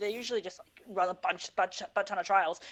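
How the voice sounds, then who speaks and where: Against a quiet background, a woman with a Northern Irish accent talks very fast at a medium pitch. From Northern Ireland. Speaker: esports podcast co-host. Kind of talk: casual esports podcast chat.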